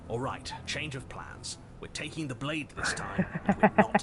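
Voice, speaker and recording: A put-on character voice from a man, fairly high-pitched, at a moderate pace with big swings in loudness over clear background noise. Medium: video game. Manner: stubborn, gruff.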